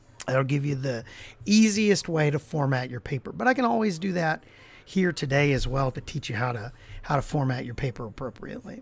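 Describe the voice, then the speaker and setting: In an Appalachian accent, the speaker talks at a fairly quick pace with lively intonation and a somewhat breathy sound. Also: man, fairly high pitch for a man. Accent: Appalachian American. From Appalachia, US coal country. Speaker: college English instructor. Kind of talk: lecture. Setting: live stream. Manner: casual, with many fillers.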